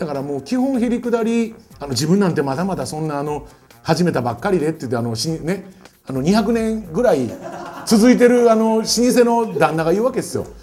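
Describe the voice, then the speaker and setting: A man speaks at a fairly quick pace in a high pitch with very wide pitch swings, and the room echo is audible. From Kyoto, Nishijin. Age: 40s. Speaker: DJ and music producer. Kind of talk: short lecture. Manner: casual, many fillers.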